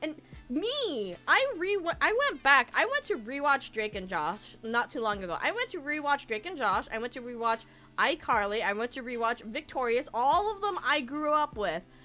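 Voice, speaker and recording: A bright, sharp, animated voice with very wide pitch swings, raised and projected, in an American accent. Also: woman, high pitch for a woman. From Florida, US. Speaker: VTuber streamer. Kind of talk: casual chat. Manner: fast.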